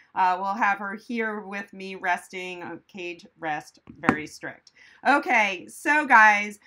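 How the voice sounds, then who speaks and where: Noticeable background noise sits behind a woman who speaks at a very slow pace with ordinary pitch variation. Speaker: veterinarian host. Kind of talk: live stream Q&A chat. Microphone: phone near.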